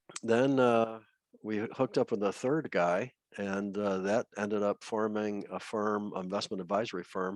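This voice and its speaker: An American accent and a plain, everyday voice over a quiet background, with dry, close sound and no echo. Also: man. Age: 60s. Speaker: retired money manager and trader. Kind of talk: interview.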